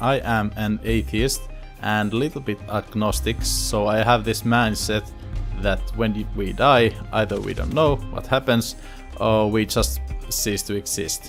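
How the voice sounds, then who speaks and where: A man speaks at a fairly slow pace with a Finnish accent while music plays in the background. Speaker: YouTuber, cancer survivor. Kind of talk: casual talk to camera, storytime.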